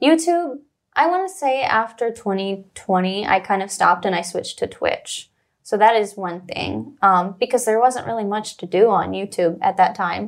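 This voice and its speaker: On a very clean recording with a silent background, a woman with an American accent uses an ordinary speaking voice at medium pitch with lively intonation. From US Midwest, Missouri. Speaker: rapper and YouTuber. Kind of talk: casual chat. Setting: studio. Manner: fast.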